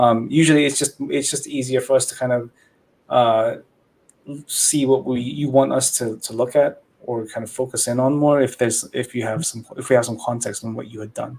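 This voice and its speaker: A man with a non-native accent at a medium pitch, fairly even intonation and moderate pace. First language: not English. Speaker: livestream host reviewing model builds. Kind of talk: casual livestream chat.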